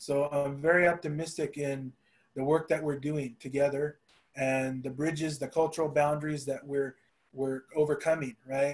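Fairly high male voice with an American accent, monotone and flat, at a moderate pace. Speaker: panelist. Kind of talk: panel discussion. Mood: warm, optimistic. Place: home room. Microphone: video call.

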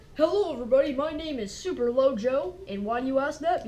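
A woman races along at a very fast pace in a high-pitched, put-on character voice over light background noise. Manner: upbeat.

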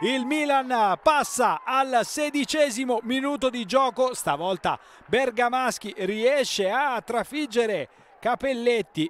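Pitched extremely high, a man talks at a very slow pace with ordinary pitch variation in a dry, close sound with no echo. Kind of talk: live sports commentary over match highlights. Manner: emphatic, declamatory delivery with rising energy.

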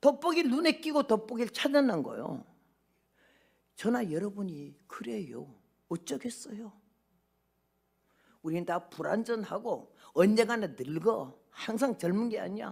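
Over a quiet background, a woman with a fairly high pitch and vocal fry speaks fairly slowly, with very wide pitch swings, big swings in loudness, and long, frequent pauses. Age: 80s+. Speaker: missionary preacher. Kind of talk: sermon. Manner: animated. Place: church. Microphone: podium.

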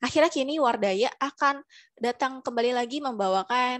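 A woman speaks at a high pitch against a quiet background. The sound is dry with no echo. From Indonesia. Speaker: webinar moderator. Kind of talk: formal announcement. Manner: formal. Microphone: headset.

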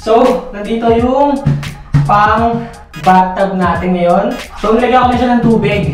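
Strong room echo surrounds a man speaking with ordinary pitch variation while faint music plays in the background. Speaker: vlogger. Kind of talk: casual vlog chat. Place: bathroom.

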